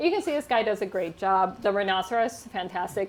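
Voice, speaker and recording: This is a woman with an unremarkable speaking voice and an American accent. Her pitch is medium and her pace fairly quick. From United States. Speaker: linguistics professor. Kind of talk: humorous science talk to a live audience.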